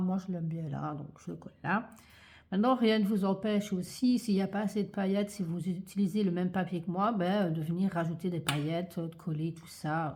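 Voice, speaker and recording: In a very clean recording with a silent background, the voice is somewhat breathy, with fairly even intonation and a moderate pace. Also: woman. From Belgium, Liège-Verviers area. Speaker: craft youtuber. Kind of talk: tutorial. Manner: hesitant, many fillers.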